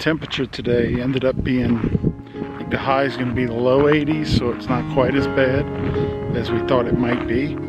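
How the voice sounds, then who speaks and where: Loud music plays in the background as a man speaks at a moderate pace. The sound is dry, with no echo. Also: ordinary pitch variation. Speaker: tourist vlogger. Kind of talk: casual vlog chat. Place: open country. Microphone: phone near.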